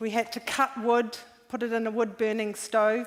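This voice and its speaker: This woman speaks with a New Zealand accent. Her pitch is fairly high. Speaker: environmental activist. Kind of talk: conference talk. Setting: stage with audience.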